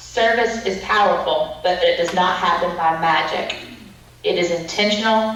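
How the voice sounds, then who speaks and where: A woman with a Southern US accent talks at a moderate pace with ordinary pitch variation. Audible room echo and noticeable background noise come through. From US South. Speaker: conference speaker. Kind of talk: keynote talk. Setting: video call.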